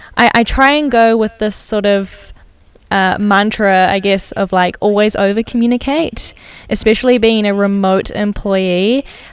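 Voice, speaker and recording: Speaking fairly slowly with a New Zealand accent, the woman keeps her intonation fairly even. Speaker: designer and podcaster. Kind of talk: casual interview chat. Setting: remote recording from Amsterdam.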